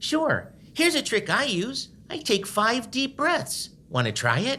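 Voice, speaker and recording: A cartoonish character voice at a fairly slow pace. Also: female-sounding voice, high pitch for a woman. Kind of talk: children's puppet show. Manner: gentle, upbeat, encouraging.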